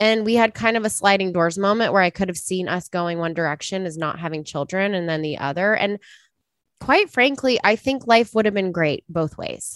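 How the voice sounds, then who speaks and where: A woman speaks in a normal speaking voice at a moderate pace with ordinary pitch variation, recorded dry and close with no echo. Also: medium pitch for a woman. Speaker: podcast guest. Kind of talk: casual chat. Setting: video call.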